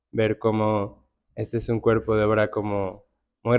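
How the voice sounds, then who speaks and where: Soft-spoken, a man talks in a monotone with flat intonation. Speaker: curator and writer. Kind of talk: panel conversation. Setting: art gallery with live audience.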